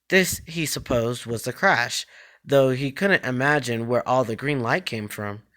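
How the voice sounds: This natural reading voice moves with ordinary pitch variation.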